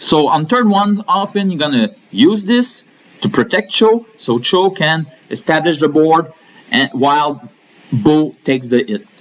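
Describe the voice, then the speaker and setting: Over noticeable background noise, a man with a French Canadian accent talks at a fairly slow pace in a fairly high pitch with very wide pitch swings. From Quebec. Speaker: gaming YouTuber. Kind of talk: game tutorial.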